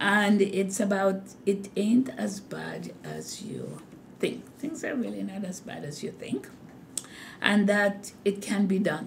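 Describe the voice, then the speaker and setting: A woman talks at a very slow pace, with big swings in loudness. Audible room echo surrounds her voice. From Jamaica. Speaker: hospital nursing executive. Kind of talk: interview. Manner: slow and deliberate.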